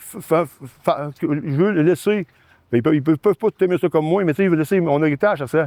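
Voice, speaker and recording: A man's fairly high voice in a Quebec accent, very fast, with a dry, close sound and no echo. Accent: Quebec French, colloquial. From Quebec, Sorel-Tracy islands area. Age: 60s. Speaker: excavation business owner. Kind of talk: interview. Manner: halting, many repetitions.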